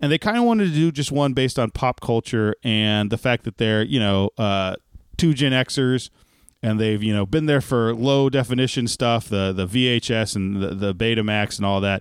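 Speaking in an American accent, a man has an ordinary speaking voice at a medium pitch with ordinary pitch variation. His pace is moderate and his loudness very even. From Texas. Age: 30s. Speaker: podcast co-host. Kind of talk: casual chat. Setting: video call.

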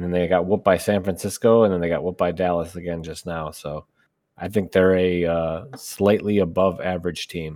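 A man speaks at a moderate pace in a very deep, low voice with flat, monotone intonation, recorded very cleanly against a silent background. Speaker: co-host. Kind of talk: casual banter.

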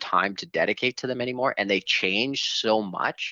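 A plain, everyday voice from a man, moderate in pace, with ordinary pitch variation. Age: 30s. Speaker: video game fan. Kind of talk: casual chat.

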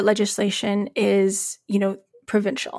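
With a western Canadian accent, a woman speaks at a fairly high pitch. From Calgary, Alberta, western Canada. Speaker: labor journalist and newsletter editor. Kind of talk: podcast interview.

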